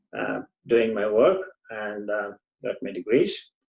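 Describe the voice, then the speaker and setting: Speaking with a Tamil accent, a man keeps a moderate pace and ordinary pitch variation. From southern India, Tamil Nadu. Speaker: engineer and community volunteer. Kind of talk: interview. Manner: halting, many fillers.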